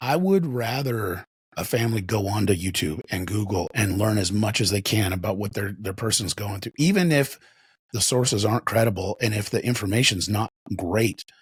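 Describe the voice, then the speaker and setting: Here a man speaks in a fairly low, somewhat breathy voice. His pace is moderate and his pitch varies in an ordinary way. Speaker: addiction intervention professional. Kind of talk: podcast conversation. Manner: halting, repeats words.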